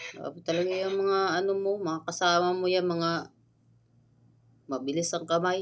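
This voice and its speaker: A woman's fairly low, flat, monotone voice at a moderate pace, broken by long, frequent pauses. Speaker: vlogger. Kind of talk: casual vlog chat.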